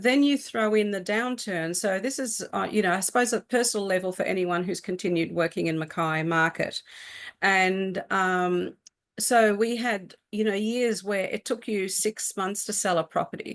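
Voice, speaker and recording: A woman speaks with an Australian accent at a moderate pace. The background is quiet. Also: medium pitch for a woman, ordinary pitch variation. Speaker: real estate agent. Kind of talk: interview. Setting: live stream.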